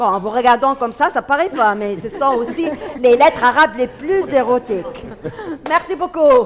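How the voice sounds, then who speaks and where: Amid crowd noise in the background, a woman with a high pitch speaks at a moderate pace with lively intonation. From Tunisia. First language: Arabic (speaking French). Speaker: comedian. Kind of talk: stand-up; interview. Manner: halting, many fillers.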